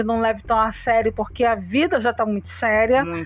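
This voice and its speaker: A woman talks at a moderate pace with a fairly high pitch. She has a normal speaking voice. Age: 40s. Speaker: podcast co-host. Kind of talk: casual chat.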